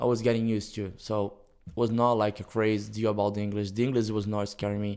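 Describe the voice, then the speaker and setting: A man with a Brazilian accent talks at a very fast pace. His fairly low voice stays flat and monotone. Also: very clean recording, silent background. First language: Portuguese. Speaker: jiu-jitsu instructor. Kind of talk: casual interview.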